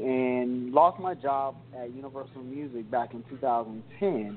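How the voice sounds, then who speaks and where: Medium pitch, ordinary pitch variation and an ordinary speaking voice from a man. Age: 30s. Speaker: personal trainer. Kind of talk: casual chat.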